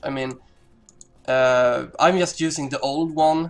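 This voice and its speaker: Music plays in the background. A man speaks with a non-native accent. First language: not English. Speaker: gamer. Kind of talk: casual gameplay commentary. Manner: hesitant, many pauses and fillers.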